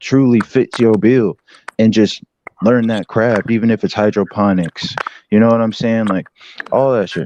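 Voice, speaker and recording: Using an ordinary speaking voice, a man speaks at a moderate pace with medium pitch and fairly even intonation. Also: dry, close sound with no echo. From US Pacific Northwest (Washington state), born in Detroit. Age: 20s. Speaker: livestream guest. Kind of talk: casual chat. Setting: online live stream. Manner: relaxed, filler-heavy.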